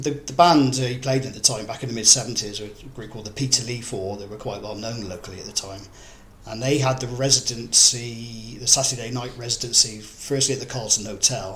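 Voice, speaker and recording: A man with a medium pitch talks at a fairly quick pace with fairly even intonation. His loudness swings widely, and background noise is noticeable. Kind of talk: oral history interview answer.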